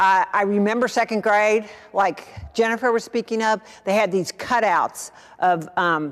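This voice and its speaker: A woman at a medium pitch uses ordinary pitch variation in an unremarkable speaking voice. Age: 60s. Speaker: speaker at parish adult education class. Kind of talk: talk with audience discussion.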